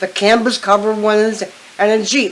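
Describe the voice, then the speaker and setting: A woman with an American accent speaks at a moderate pace, her pitch fairly high. She has a plain, everyday voice. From western Pennsylvania. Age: 60s. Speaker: eyewitness interviewee. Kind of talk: interview.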